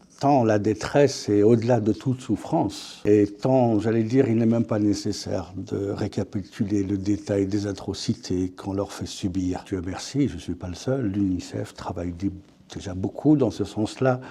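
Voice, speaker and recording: A man's fairly low, dark, mellow voice at a fairly slow pace, with hardly any pauses and ordinary pitch variation. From France. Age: 60s. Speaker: author. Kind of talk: interview. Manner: hesitant, repeats words.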